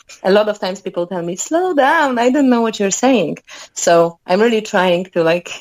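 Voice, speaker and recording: With a Polish accent, a woman talks at a moderate pace in a medium-pitched voice with lively intonation. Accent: Polish accent, noticeable but clear. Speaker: musician. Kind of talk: interview. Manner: talkative.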